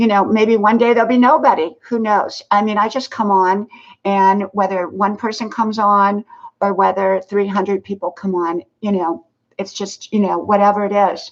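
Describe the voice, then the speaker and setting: In an ordinary speaking voice, a woman talks at a moderate pace with fairly even intonation and medium pitch. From US South. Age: 60s. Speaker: live streamer. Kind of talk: casual live stream chat. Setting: live stream. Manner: casual, filler-heavy.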